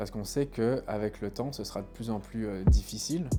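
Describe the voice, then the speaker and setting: Over music in the background, a man talks at a moderate pace with a fairly low pitch. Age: 30s. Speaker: tenant giving testimony. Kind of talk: testimony. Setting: at home, apartment. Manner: hesitant, many fillers.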